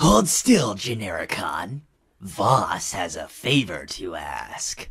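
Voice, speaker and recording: Using a put-on character voice, a man speaks at a very slow pace with a fairly low pitch and very wide pitch swings. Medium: fan dub. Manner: dry, sardonic.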